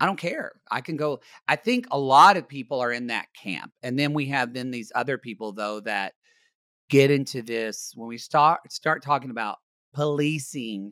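This man speaks at a moderate pace and medium pitch with an American accent and a bright, sharp tone. The sound is dry and close with no echo, on a very clean recording with a silent background. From Oklahoma, US. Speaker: podcast co-host. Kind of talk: casual chat. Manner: animated.

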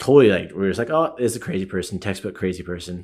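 A man speaks at a very fast pace with lively intonation. His pitch is fairly low, and the recording is very clean with a silent background. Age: 30s. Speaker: martial arts gym owner and coach. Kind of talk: casual interview.

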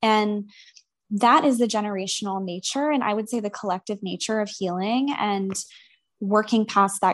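In a quiet background, a woman with an American accent speaks in an ordinary speaking voice at a medium pitch and moderate pace, with ordinary pitch variation. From US South, Atlanta, Georgia. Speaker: licensed professional counselor. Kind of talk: casual interview chat.

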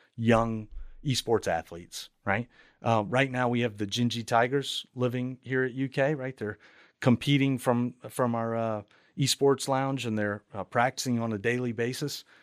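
A man's unremarkable speaking voice at medium pitch, moderate pace and fairly even intonation, in a dry, close sound with no echo and a very clean recording over a silent background. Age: 40s. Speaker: university technology administrator. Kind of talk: interview.

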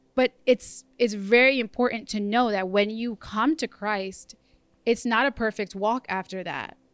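In a very clean recording with a silent background and a dry, close sound with no echo, a woman speaks in an ordinary speaking voice at a fairly slow pace, fairly high in pitch with fairly even intonation. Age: 20s. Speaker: registered nurse and mother sharing testimony. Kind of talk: testimony.

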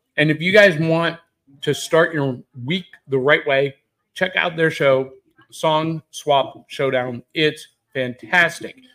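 Loud and bright, sharp in tone, the voice moves at a very slow pace with fairly even intonation and long, frequent pauses. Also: man, fairly high pitch for a man. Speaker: pop culture podcast host. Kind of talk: live casual chat. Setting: live at a convention, shared mic.

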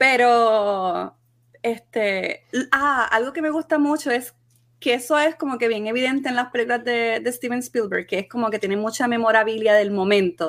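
A woman's ordinary speaking voice, fairly high in pitch, with ordinary pitch variation. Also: moderate pace. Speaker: podcast co-host. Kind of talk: casual banter about a movie.

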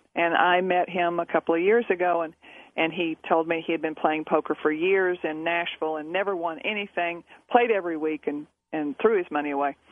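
A woman talks at a fairly quick pace with an unremarkable speaking voice. Her pitch is fairly low and her intonation fairly even. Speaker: poker coach and author. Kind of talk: casual radio interview. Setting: phone call.

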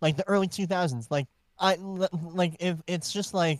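This man has a high-pitched voice. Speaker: podcast co-host, musician. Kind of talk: casual chat.

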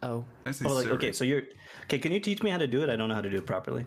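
A man with a Canadian accent and medium pitch, very fast and with lively intonation. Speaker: podcast co-host, YouTube content creator. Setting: live-streamed podcast.

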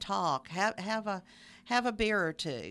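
A woman speaks in a Southern US accent with lively intonation and medium pitch. She goes at a fairly slow pace on a very clean recording with a silent background. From Middle Tennessee. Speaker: arts organizer. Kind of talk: radio interview. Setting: studio.

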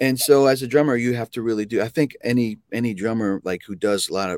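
A man with an American accent speaks in a plain, everyday voice at medium pitch with ordinary pitch variation, the sound dry and close with no echo in a very clean recording over a silent background. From US, New Jersey. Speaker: drummer and music educator. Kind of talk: casual interview.

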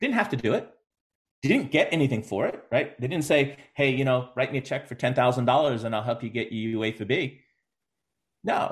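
Here a man talks at a fairly quick pace in a medium pitch. His voice is somewhat breathy, with ordinary pitch variation. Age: 50s. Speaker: youth soccer coach. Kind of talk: casual interview.

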